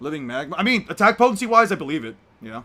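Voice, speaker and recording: A man's high-pitched, raised and projected voice, bright and sharp in tone, on a very clean recording with a silent background. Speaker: streamer debating anime power scaling. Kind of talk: casual live stream chat. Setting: in his room, voice call. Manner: sounds irritated, exasperated; gets louder when heated.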